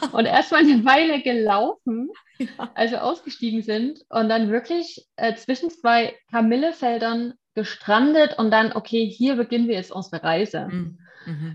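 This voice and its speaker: Speaking with a Saxon accent, a woman uses a fairly high pitch, lively intonation and a somewhat breathy voice. Her pace is fairly slow against a quiet background. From Saxony, Germany. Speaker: florist. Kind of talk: casual chat. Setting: online call.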